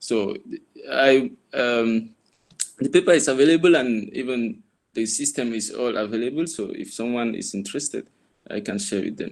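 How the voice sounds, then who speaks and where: A man with a Cameroonian accent speaks at a moderate pace. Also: medium pitch for a man, ordinary pitch variation. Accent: Cameroonian francophone English. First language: French. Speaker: former fellow and university tutor. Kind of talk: guest talk. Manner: hesitant, many fillers.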